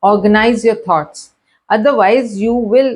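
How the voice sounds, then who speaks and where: With a Karachi accent, a woman speaks at a moderate pace. Her pitch is fairly high, with ordinary variation. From Pakistan, Karachi. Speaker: educational video host. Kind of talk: lecture.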